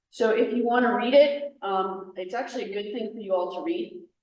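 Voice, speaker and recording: A woman with an American accent. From New York. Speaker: federal agency presenter. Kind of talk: workshop presentation. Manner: loud.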